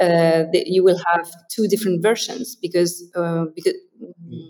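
With a French accent, a woman speaks at a moderate pace in a fairly low pitch. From France. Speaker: translation company co-founder. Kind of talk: interview.

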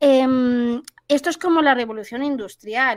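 In a very clean recording with a silent background, a woman with a Valencian accent speaks at a fairly slow pace and a high pitch. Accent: Valencian accent, noticeable. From Valencia region, Spain. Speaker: marketing specialist and podcaster. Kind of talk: interview conversation.

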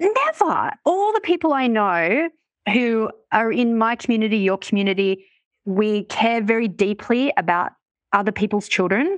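A woman with an Australian accent speaks at a moderate pace and fairly high pitch, with lively intonation and very even loudness, in a dry, close sound with no echo over a quiet background. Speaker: money mindset coach and author. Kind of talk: casual interview chat.

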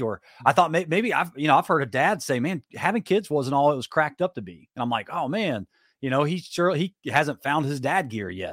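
A man with a fairly high pitch speaks at a fairly quick pace, his tone energetic and his intonation lively, with vocal fry. The recording is very clean and dry, close with no echo, over a silent background. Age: 30s. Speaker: monster truck driver and author. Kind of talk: podcast interview.

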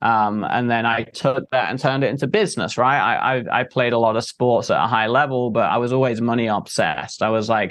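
In an English accent, a man talks at a fairly quick pace with fairly even intonation. The background is quiet. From England. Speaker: entrepreneur and marketer. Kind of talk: interview.

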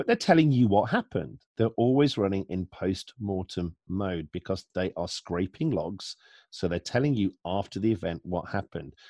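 A man with a fairly low pitch and a dark, mellow tone, lively intonation, moderate pace, dry, close sound with no echo and a quiet background. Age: 40s. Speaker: security analyst. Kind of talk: interview.

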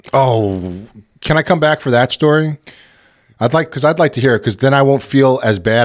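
An unremarkable speaking voice with an American accent, fairly quick in pace with ordinary pitch variation, on a very clean recording with a silent background. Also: man. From New York City (Queens). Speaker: sports podcast host. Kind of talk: casual chat.

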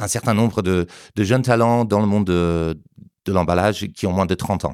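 A man with an English accent, fairly low in pitch with ordinary pitch variation, in a very clean recording with a silent background and a dry, close sound with no echo. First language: English (speaking French). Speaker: trade show director. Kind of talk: interview. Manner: halting, many repetitions and hesitations.

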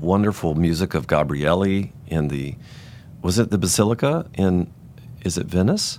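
A man's very deep, low voice with an American accent, ordinary pitch variation and a moderate pace. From US South, Virginia. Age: 60s. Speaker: choral conductor. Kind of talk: casual chat. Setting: studio.

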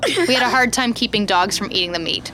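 A woman with an American accent talks at a very fast pace. Her pitch varies in an ordinary way, and music plays in the background. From US Midwest. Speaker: podcast co-host. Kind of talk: casual chat. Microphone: very close to the mic.

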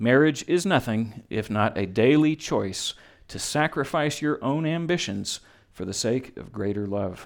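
A man with a plain, everyday voice speaks at a fairly slow pace and medium pitch, his intonation lively. The recording is very clean over a silent background. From Texas. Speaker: pastor officiating a wedding. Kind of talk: wedding sermon. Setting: wedding ceremony with guests.

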